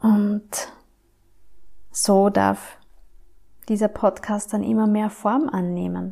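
Pausing long and often, a woman talks very slowly. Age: 30s. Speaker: ayurveda mentor and podcast host. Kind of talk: personal introduction monologue.

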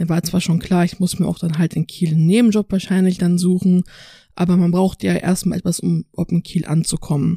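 Fairly low in pitch, a woman speaks at a fairly quick pace in a dark, mellow, somewhat breathy tone, with monotone, flat intonation, very even loudness and a dry, close sound with no echo. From North Rhine-Westphalia, Dormagen near Cologne. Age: 20s. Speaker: university student. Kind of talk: interview. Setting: studio.

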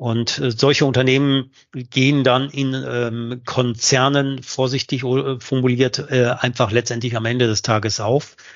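The man's intonation is monotone and flat. His pace is fairly slow. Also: medium pitch for a man, hardly any pauses. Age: 50s. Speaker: sales director. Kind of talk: interview. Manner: halting.

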